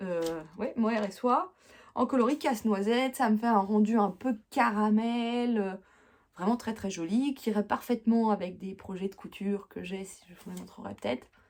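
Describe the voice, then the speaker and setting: A woman with a fairly high pitch talks at a fairly slow pace, with ordinary pitch variation and big swings in loudness. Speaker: knitting podcaster. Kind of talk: casual chat. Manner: hesitant fillers.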